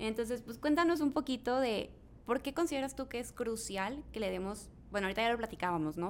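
Lively intonation with vocal fry. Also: woman. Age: young. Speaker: podcast host. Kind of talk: interview.

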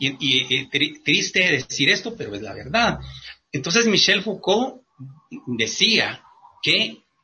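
This man speaks at a fairly slow pace. His pitch swings very widely. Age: 50s. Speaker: writer and former musician. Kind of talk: radio interview. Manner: halting, with many fillers.

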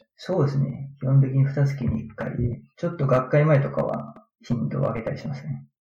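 A man speaking at a fairly quick pace, with audible room echo. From Japan, Aichi Prefecture. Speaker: physical therapist and researcher. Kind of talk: interview.

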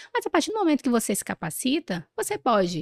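Speaking at a fairly quick pace with vocal fry and very wide pitch swings, a woman is heard in a dry, close sound with no echo. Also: very clean recording, silent background. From northern Brazil, interior of Pará. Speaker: pediatrician. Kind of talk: interview. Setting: event recording in Rio de Janeiro.

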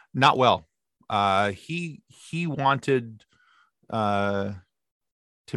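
A Midwestern American accent with lively intonation, a dry, close sound with no echo, and a quiet background. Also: man. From Michigan, US. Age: 40s. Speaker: podcast host. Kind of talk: casual chat.

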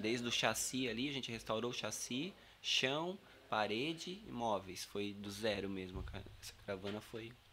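A man's bright, sharp voice at a medium pitch and moderate pace, with ordinary pitch variation. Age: 30s. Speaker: carpenter and campervan builder. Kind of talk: casual interview.

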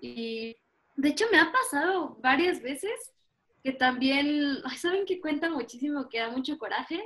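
Her voice is high-pitched, and this woman uses lively intonation at a fairly slow pace. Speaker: artist and student. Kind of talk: interview. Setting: video call.

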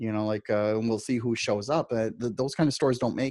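Against a quiet background, a man speaks in a plain, everyday voice. His pitch is medium, with ordinary pitch variation. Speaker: digital nomad business owner. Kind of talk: casual interview chat. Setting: podcast interview with a dynamic microphone. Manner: conversational, many filler words.

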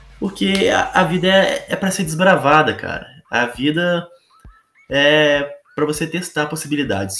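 This man's voice sits at a fairly high pitch. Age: 20s. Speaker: gaming content creator. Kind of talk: casual monologue podcast.

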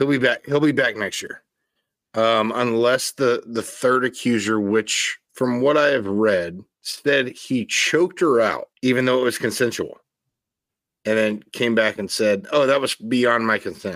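An unremarkable speaking voice talks fairly slowly, with ordinary pitch variation, on a very clean recording with a silent background. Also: man, medium pitch for a man. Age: 30s. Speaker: baseball podcast co-host. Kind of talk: casual chat.

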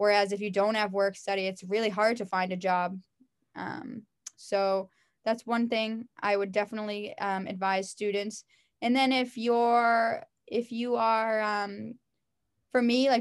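A woman with an unremarkable speaking voice talks at a fairly slow pace in a fairly high pitch with fairly even intonation, in a very clean recording with a silent background. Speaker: physical education teacher. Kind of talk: interview. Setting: call.

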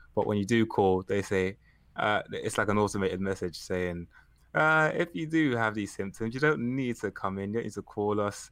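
At a fairly low pitch, a man speaks at a moderate pace with ordinary pitch variation. He has a plain, everyday voice, captured in a very clean recording with a silent background. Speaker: guest on call. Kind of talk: casual chat. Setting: group call.

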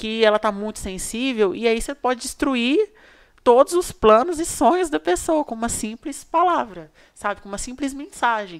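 A woman with a plain, everyday voice, fairly high in pitch, at a moderate pace, with lively intonation, big swings in loudness and a dry, close sound with no echo. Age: 20s. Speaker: social media influencer. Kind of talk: casual interview.

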